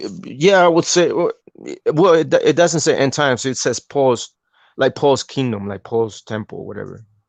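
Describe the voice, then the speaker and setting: A man with a strong non-native accent at a moderate pace, recorded with a dry, close sound with no echo against a quiet background. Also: lively intonation. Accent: thick accent, non-native. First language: not English. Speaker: podcast host, religious teacher. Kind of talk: casual religious discussion on live podcast. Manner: halting, many repetitions and fillers.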